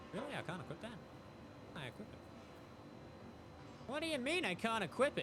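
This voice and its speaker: Amid noticeable background noise, a man talks very fast at an extremely high pitch, with very wide pitch swings and long, frequent pauses. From Australia. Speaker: video game streamer. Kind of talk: casual live-stream commentary while gaming. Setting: live stream.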